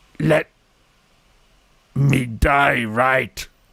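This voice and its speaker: A man in a put-on character voice at a medium pitch. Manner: grunting.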